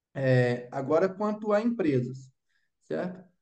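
With a dark, mellow tone, a man speaks at a fairly slow pace using lively intonation. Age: 20s. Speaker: investment advisor. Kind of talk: interview. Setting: video call.

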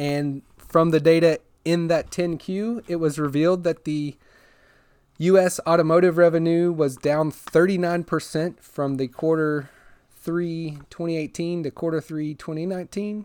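A man speaks in a high pitch at a fairly slow pace. His intonation stays fairly even. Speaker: podcast host. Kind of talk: solo podcast monologue about Tesla news. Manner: informal, hesitant, self-correcting with fillers.

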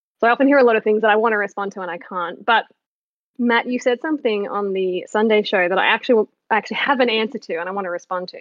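A woman with an Australian accent talks very fast at a fairly high pitch. Her loudness swings a lot. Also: ordinary pitch variation. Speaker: caller. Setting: phone. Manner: fast talker.

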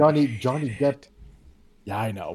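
With lively intonation, a man speaks at a fairly high pitch in an unremarkable speaking voice. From Canada. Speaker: podcast guest. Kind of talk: casual chat.

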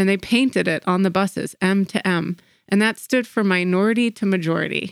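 In a normal speaking voice, a woman of medium pitch talks at a fairly quick pace with fairly even intonation and very even loudness, the sound dry and close with no echo. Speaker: podcast co-host. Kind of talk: casual podcast conversation.

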